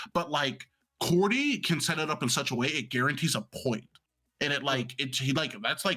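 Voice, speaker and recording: A man's bright, sharp, animated voice at a fairly high pitch, with lively intonation and a moderate pace. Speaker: game commentator and podcast co-host. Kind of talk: casual chat. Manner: speeds up when in competitive headspace.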